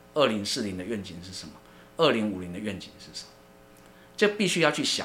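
Very fast male speech at a fairly low pitch, big swings in loudness, long, frequent pauses and audible room echo. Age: 50s. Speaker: university research center director, sociologist. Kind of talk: interview. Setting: studio. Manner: hesitant, many fillers and repetitions.

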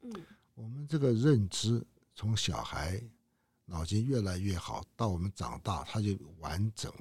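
A man speaks with a fairly low, somewhat breathy voice and lively intonation. His pace is fairly slow, with long, frequent pauses and big swings in loudness. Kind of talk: interview.

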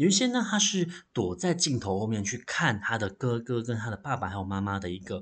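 A man with a Taiwanese accent speaks with lively intonation and a somewhat breathy quality. The background is quiet. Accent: Taiwanese Mandarin. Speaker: library podcast host and novelist. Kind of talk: solo book review monologue.

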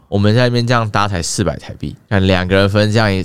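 A man with a fairly low voice talks at a very fast pace. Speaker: fitness coach. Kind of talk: casual chat.

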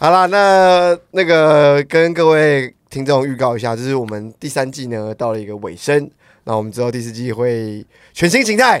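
Recorded very cleanly against a silent background, a plain, everyday voice moves at a moderate pace with lively intonation and big swings in loudness. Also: man, medium pitch for a man. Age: 30s. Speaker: podcast co-host. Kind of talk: casual chat.

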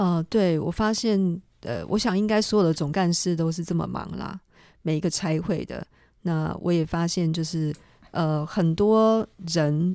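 A woman's fairly low, dark, mellow voice with ordinary pitch variation, at a fairly slow pace, on a very clean recording with a silent background. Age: young. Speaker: mission organization director. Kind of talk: radio interview.

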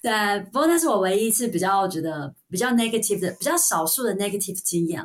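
Talking very fast with hardly any pauses, a woman with a Taiwanese accent swings her medium pitch very widely. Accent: Taiwanese Mandarin. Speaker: registered nurse. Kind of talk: casual interview chat.

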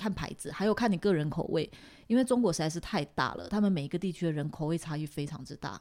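A woman's fairly low voice, very fast and lively in intonation. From Taiwan. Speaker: Taiwanese expat living in Shanghai. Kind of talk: casual interview chat. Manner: not soft or gentle in tone.

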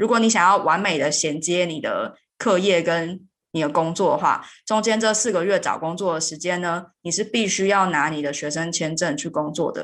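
With an unremarkable speaking voice, a woman talks at a moderate pace in a fairly low pitch with ordinary pitch variation. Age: 30s. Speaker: podcast host and software engineer. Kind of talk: interview.

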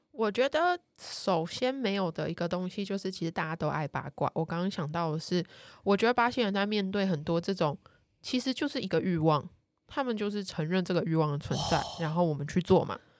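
In an ordinary speaking voice, a woman talks at a fairly quick pace with a medium pitch and lively intonation, captured as a dry, close sound with no echo on a very clean recording with a silent background. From Taiwan. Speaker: columnist on Brazilian culture. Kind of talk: casual chat.

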